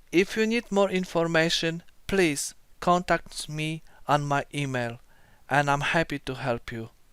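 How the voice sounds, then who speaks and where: A man with a non-native accent and fairly high pitch speaks at a fairly slow pace with ordinary pitch variation. The recording is very clean, with a silent background. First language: not English. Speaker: car DIY video maker. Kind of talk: tutorial. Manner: halting.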